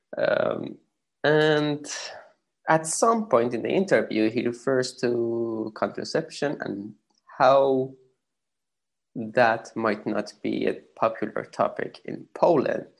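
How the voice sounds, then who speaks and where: Someone speaks at a very slow pace in a Persian accent, leaving long, frequent pauses. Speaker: podcast host. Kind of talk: podcast intro monologue; interview.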